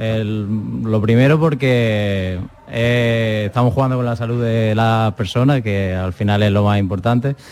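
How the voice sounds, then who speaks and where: Against noticeable background noise, a man talks at a fairly slow pace with hardly any pauses and fairly even intonation. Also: medium pitch for a man. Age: 30s. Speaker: hotel chef. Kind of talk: interview. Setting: live broadcast from a hotel.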